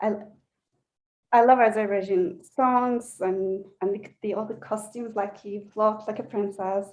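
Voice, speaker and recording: At a fairly slow pace, a woman with a Turkish accent talks in a fairly high pitch with monotone, flat intonation and big swings in loudness. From Turkey, Istanbul. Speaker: belly dancer. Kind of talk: interview. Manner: halting.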